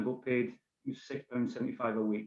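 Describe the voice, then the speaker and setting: A man with a Scottish accent and a medium pitch, at a very fast pace. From Scotland, Bannockburn near Stirling. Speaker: safety manager, ex-army train driver. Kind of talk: podcast interview. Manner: hesitant, many fillers.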